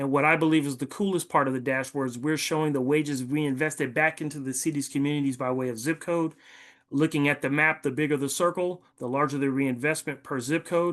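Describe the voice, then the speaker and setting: Over a quiet background, a man talks at a fairly quick pace. His pitch is fairly high and his intonation fairly even. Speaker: city program presenter. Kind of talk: presentation. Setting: video call. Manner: fast.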